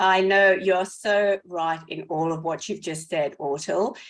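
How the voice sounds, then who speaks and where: A woman of medium pitch speaks with a South African accent. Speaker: podcast co-host. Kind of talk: casual podcast chat.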